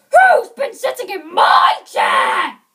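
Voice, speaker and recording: Shouting in a put-on character voice, the speaker hits an extremely high pitch. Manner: gruff.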